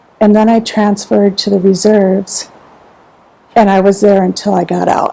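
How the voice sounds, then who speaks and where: Monotone, flat delivery from a woman of medium pitch at a moderate pace, over noticeable background noise. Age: 60s. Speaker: military veteran. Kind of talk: interview.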